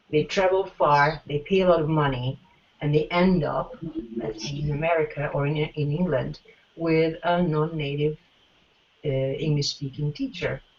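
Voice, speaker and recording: A woman with a non-native accent speaks at a moderate pace in a very deep, low voice with ordinary pitch variation. Noticeable background noise can be heard. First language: not English. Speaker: teacher and former master's student. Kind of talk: interview. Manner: halting, many fillers.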